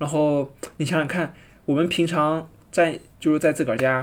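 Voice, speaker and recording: A man talks at a moderate pace. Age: young. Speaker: travel podcaster. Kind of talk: solo travel narration. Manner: hesitant, many filler sounds.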